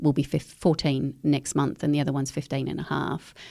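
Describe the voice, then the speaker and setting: A dark, mellow female tone, very clean recording, silent background. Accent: Australian. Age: 50s. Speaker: eco educator. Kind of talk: podcast interview.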